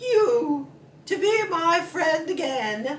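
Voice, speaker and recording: Putting on a character voice, a woman speaks at an extremely high pitch. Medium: read story. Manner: genteel, chummy.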